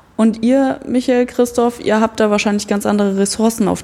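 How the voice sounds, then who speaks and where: A woman speaks over noticeable background noise. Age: 30s. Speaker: art educator. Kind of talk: casual chat. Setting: artist's studio.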